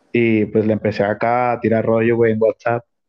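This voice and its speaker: A man speaks at a moderate pace. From Mexico, Nuevo León. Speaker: barber. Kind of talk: casual chat.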